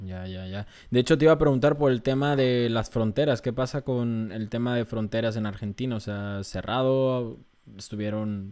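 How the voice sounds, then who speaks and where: With a Mexican accent, a man speaks at medium pitch and a moderate pace, showing ordinary pitch variation. His tone is dark and mellow, with big swings in loudness. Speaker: podcast host. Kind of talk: casual interview.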